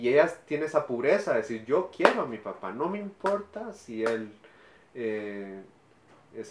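A man with a medium pitch, a normal speaking voice, lively intonation and a fairly slow pace. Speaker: actor and musician. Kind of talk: interview.

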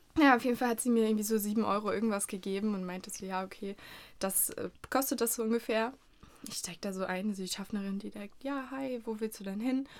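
With fairly even intonation, a woman talks in a fairly high voice. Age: 20s. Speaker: podcast host, university student. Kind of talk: casual chat. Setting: studio.

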